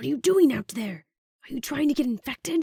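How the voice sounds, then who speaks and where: A woman does a put-on character voice, high-pitched, raspy and hissing, with very wide pitch swings and big swings in loudness. She talks at a fairly quick pace, and the sound is dry and close with no echo. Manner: urgent, warning.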